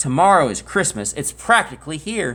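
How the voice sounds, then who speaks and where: A man's put-on character voice, growling with a fairly high pitch, very wide pitch swings and a moderate pace. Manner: snarling, sneering.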